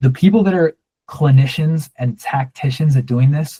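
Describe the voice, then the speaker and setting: The man has a somewhat breathy voice. His tone comes across dark and mellow. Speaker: online workshop instructor. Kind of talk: workshop Q and A. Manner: monotone; casual, with fillers and self-corrections.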